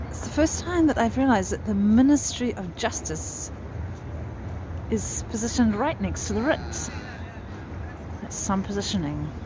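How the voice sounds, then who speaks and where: Long, frequent pauses break up speech at a moderate pace, with noticeable background noise behind it. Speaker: walking tour vlogger. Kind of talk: casual vlog narration.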